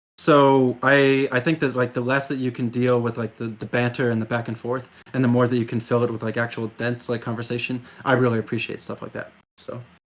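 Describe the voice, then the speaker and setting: The man's intonation stays monotone and flat. He keeps up a fairly quick speed. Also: medium pitch for a man. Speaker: political streamer. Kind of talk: interview conversation. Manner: fast.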